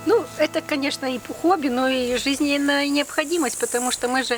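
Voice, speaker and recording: A woman talks with ordinary pitch variation against noticeable background noise. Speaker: nature reserve botanist. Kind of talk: interview answer.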